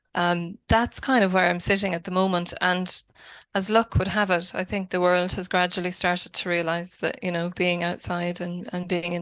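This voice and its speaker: With an Irish accent, a woman talks at a moderate pace and medium pitch against a quiet background. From Ireland, Wicklow. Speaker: academic researcher and author. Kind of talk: podcast interview. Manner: hesitant, many fillers.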